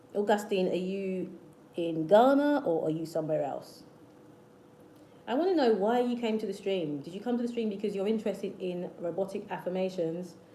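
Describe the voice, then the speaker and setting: A woman with a British accent talks at a fairly quick pace, her medium pitch showing ordinary variation. Noticeable background noise and audible room echo fill the recording. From South London, England. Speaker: manifestation youtuber. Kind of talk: livestream chat with viewers. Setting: live stream. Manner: repetitive, hesitant restarts.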